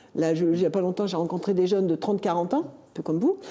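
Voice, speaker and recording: A woman talks at a fairly quick pace. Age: 60s. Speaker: local election candidate. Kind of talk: talk show discussion.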